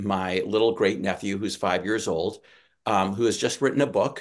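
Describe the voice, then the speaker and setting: A man's fairly low voice, a plain, everyday voice, with ordinary pitch variation over a quiet background. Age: 50s. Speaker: novelist. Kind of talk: live webinar panel discussion. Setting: live webinar with chat.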